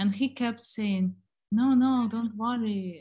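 At a very slow pace, a woman with a fairly high pitch speaks in a somewhat breathy, dark, mellow tone with fairly even intonation. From Germany and Ukraine. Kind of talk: casual chat.

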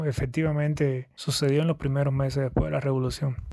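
Flat and monotone, a man speaks at a fairly high pitch. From Cuba, Yaguajay (Sancti Spíritus). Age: 30s. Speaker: hotel manager, local historian. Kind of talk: interview. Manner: halting.

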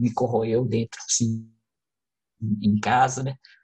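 This man's voice is somewhat breathy, with fairly even intonation. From Brazil, Contagem (Minas Gerais). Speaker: lighting designer and actor. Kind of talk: interview.

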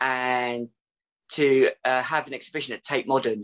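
A moderate pace over a quiet background. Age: 40s. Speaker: blind artist. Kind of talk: interview.

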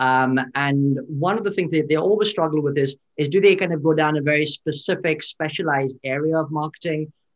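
A plain, everyday voice from a man, fairly high in pitch, at a fairly quick pace with hardly any pauses, in a dry, close sound with no echo. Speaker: podcast host. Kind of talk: casual interview. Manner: upbeat, chatty.

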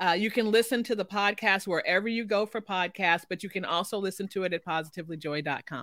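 With hardly any pauses, a woman talks at a very fast pace in an American accent, at medium pitch with ordinary pitch variation. The recording is very clean, the background silent. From Chicago. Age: 50s. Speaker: journalist turned educator, ministry founder and author. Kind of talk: casual interview chat.

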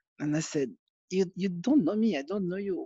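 Against a quiet background, a man with a French accent speaks at a high pitch with lively intonation in a dry, close sound with no echo. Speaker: former footballer and football manager. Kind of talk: interview. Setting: remote call. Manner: halting.

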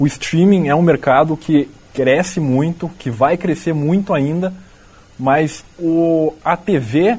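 With a Brazilian accent, a man speaks at a fairly high pitch with ordinary pitch variation. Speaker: student podcast host. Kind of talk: interview.

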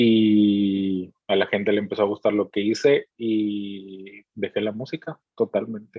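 Delivered at a very slow pace with hardly any pauses, a man's fairly low voice holds a fairly even intonation. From Mexico, Veracruz. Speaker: music videographer. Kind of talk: casual interview.

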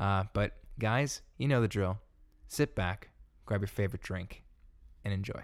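A plain, everyday voice from a man, fairly low in pitch at a moderate pace, in a very clean recording with a silent background. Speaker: student podcast host. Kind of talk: scripted intro; casual chat. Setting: dorm room.

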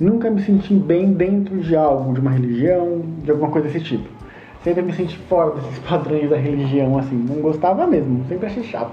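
Noticeable background noise and audible room echo accompany this man as he talks. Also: fairly high pitch for a man, ordinary pitch variation, fairly quick pace. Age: 30s. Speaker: Umbanda priest and podcast host. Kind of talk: personal storytelling monologue. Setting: home bedroom. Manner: talkative.

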